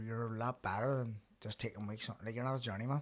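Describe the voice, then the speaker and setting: With a Belfast accent, a man talks at a very fast pace at medium pitch, his intonation fairly even. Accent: Belfast Northern Irish. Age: 30s. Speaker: podcast host and professional boxer. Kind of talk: casual chat. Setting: studio.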